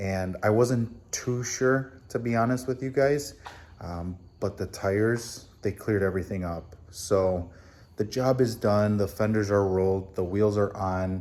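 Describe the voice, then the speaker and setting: The speaker is a man with a fairly low pitch. He talks at a fairly slow pace. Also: ordinary pitch variation. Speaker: car DIY youtuber. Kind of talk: casual vlog recap. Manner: quiet, subdued.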